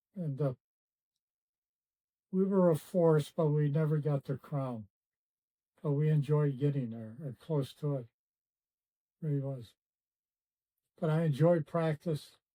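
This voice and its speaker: With an American accent and a dark, mellow tone, this fairly high-pitched man uses ordinary pitch variation and takes long, frequent pauses. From US Midwest, Cleveland, Ohio. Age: 80s+. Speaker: former basketball player. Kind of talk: interview, reminiscing. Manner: halting, many fillers.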